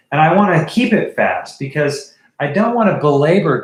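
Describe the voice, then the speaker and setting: A man with a fairly high pitch and vocal fry speaks at a fairly slow pace, his pitch swinging very widely. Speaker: art teacher. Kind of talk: livestream drawing tutorial. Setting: live stream. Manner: casual with many fillers.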